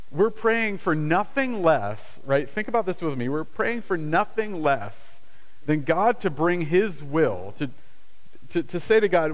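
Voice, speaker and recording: This man's voice sits high. His pitch swings very widely. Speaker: pastor. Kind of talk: sermon; prayer. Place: church.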